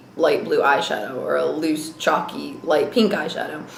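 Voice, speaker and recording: A woman with an American accent at a fairly quick pace, with noticeable background noise and audible room echo. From US, moved around (Navy family). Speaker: beauty vlogger. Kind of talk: casual vlog talk. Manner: fast.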